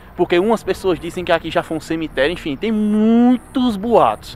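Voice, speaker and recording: Speaking at a moderate pace, a man uses a high voice with lively intonation over light background noise. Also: dry sound with no echo. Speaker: ghost-hunting vlogger. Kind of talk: casual vlog chat. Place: open country. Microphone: phone near.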